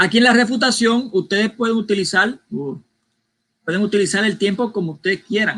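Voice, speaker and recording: A man's high-pitched voice, bright and sharp in tone, with ordinary pitch variation and a fairly quick pace. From Puerto Rico. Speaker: debate moderator. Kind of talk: debate moderation.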